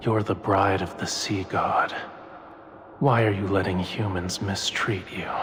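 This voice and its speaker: A man in a put-on character voice, fairly low-pitched and fairly slow, with clear echo and clear background noise. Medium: video game. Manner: mysterious, tempting.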